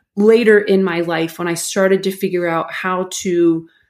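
With an American accent, a woman speaks in an unremarkable speaking voice at a fairly low pitch, on a very clean recording with a silent background. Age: 40s. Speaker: mental performance coach. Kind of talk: interview.

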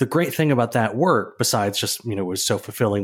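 A man at a medium pitch with ordinary pitch variation, an ordinary speaking voice, with an American accent. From Minnesota (Saint Paul). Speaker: architecture photographer and writer. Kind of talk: interview.

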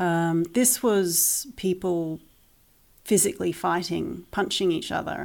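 In a New Zealand accent, a woman talks at a fairly slow pace on a very clean recording with a silent background. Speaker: parent of online school pupils. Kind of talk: interview.

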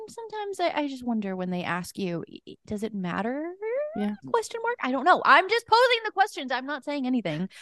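Over noticeable background noise, a woman with a high voice talks at a fairly quick pace, her pitch swinging very widely. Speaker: podcast host. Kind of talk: casual interview chat.

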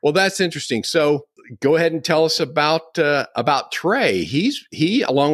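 Against a very clean, silent background, a man talks in an ordinary speaking voice. He keeps a moderate pace. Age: 60s. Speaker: podcast host. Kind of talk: interview conversation; scripted introduction.

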